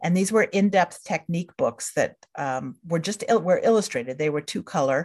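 An unremarkable speaking voice from a woman, fairly low in pitch, with lively intonation, a moderate pace and hardly any pauses, against a quiet background. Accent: American. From central New York state. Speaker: book publisher and editor. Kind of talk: casual interview.

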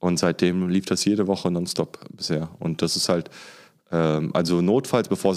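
This man has a very deep, low pitch. He keeps his intonation fairly even. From Germany. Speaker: anti-racism trainer. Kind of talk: casual interview.

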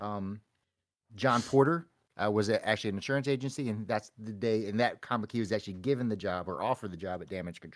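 In a very clean recording with a silent background, a man talks at a fairly quick pace in an ordinary speaking voice with ordinary pitch variation. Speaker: podcast host. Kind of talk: casual chat.

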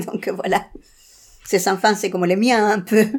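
A woman at a fairly quick pace with a Chilean accent. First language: Spanish (speaking French). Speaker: interviewee sharing personal story. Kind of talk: personal testimony interview. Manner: halting, with many repetitions.

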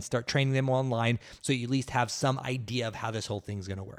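A man with an American accent speaks in an energetic tone at a medium pitch, in a very clean, dry, close recording with a silent background and no echo. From Oklahoma, US. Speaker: fitness business podcast host. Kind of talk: solo podcast monologue. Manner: energetic, motivational.

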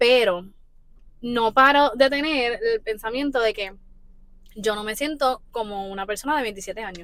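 A woman with a fairly high pitch speaks at a fairly slow pace, leaving long, frequent pauses as her loudness swings widely. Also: ordinary pitch variation. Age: 20s. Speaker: podcast host. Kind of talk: casual chat.

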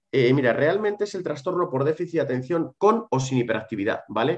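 Speaking at a fairly quick pace, a man uses a normal speaking voice, fairly high in pitch with lively intonation. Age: 30s. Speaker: psychologist specializing in ADHD. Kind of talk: interview.

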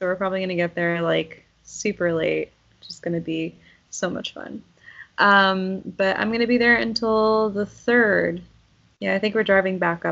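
Speaking in a normal speaking voice, a woman keeps a medium pitch and fairly even intonation while moving at a moderate pace. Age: 30s. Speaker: podcast co-host. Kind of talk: casual chat.

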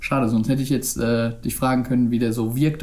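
Audible room echo hangs around the voice. A man is talking at a fairly quick pace. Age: 20s. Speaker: podcast co-host. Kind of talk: casual chat. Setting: video call.

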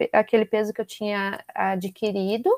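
A woman's voice at a moderate pace, dry and close with no echo, in a very clean recording with a silent background. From Brazil, Curitiba. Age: 30s. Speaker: nutritionist. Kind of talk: interview.

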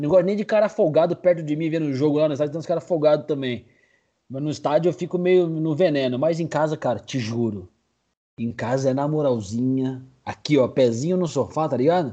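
Fairly high-pitched with ordinary pitch variation, a man talks at a fairly quick pace in a dark, mellow tone. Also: quiet background. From Brazil, São Paulo area (Cotia). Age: 40s. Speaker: sports podcaster. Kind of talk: casual chat.

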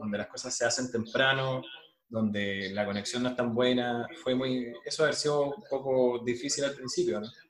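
A man's medium-pitched voice with a Chilean accent, a moderate pace, ordinary pitch variation, and noticeable background noise. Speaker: podcast host. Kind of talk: casual interview.

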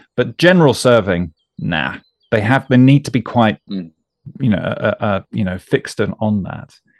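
Lively intonation in a British accent at a moderate pace, with a dry, close sound and no echo. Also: man, medium pitch for a man. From UK. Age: 40s. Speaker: podcast host. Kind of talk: interview conversation. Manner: hesitant, repeats words.

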